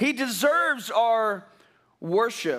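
Against a quiet background, a man with an extremely high pitch uses a raised, projected voice and a bright, sharp tone, speaking very slowly. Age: 50s. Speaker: pastor. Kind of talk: sermon. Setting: church. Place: church.

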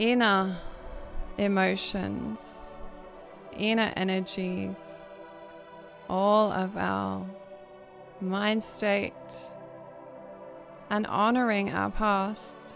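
A woman at a very slow pace with long, frequent pauses, music playing in the background. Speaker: spiritual guide and healer. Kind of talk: guided meditation. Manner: slow, soft-spoken.

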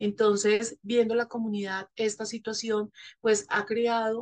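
The speech comes at a fairly slow pace with monotone, flat intonation over a quiet background. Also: woman. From Colombia. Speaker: NGO representative; panelist. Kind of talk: panel discussion. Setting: virtual session. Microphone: video call.

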